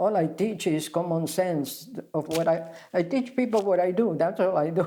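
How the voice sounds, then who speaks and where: A woman with a non-native accent speaks at a moderate pace. Her pitch is fairly low, with ordinary pitch variation. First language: not English. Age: 80s+. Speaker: spa founder and wellness teacher. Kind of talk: interview. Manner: halting.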